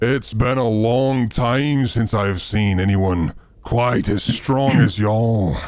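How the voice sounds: Using a put-on character voice, a man speaks at a medium pitch. His pace is very slow.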